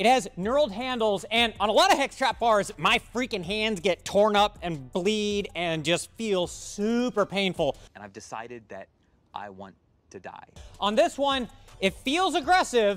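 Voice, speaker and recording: The speech moves at a fairly slow pace with big swings in loudness. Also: man. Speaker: equipment store reviewer. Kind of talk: product review commentary. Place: factory.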